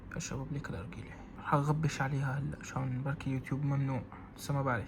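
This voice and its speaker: Amid noticeable background noise and audible room echo, a man with a Levantine accent speaks at a fairly quick pace and medium pitch. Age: 20s. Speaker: vlogger. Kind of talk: casual vlog talk. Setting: gym. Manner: hesitant.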